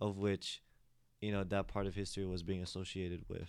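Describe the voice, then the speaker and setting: Moderately paced, a man speaks with an American accent. His pitch is fairly low. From Philippines. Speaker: podcast host and student discussant. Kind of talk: casual panel discussion.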